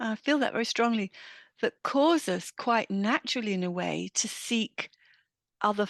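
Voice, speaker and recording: A woman speaks with an English accent at a moderate pace, her pitch varying an ordinary amount. The background is quiet. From England. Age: 60s. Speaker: midlife women's mentor. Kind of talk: interview.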